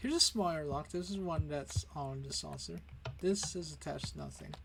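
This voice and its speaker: The speaker is a man. He keeps a moderate pace, and room echo is audible. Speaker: gaming video creator and comic artist. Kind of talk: build showcase tour. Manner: casual, with fillers.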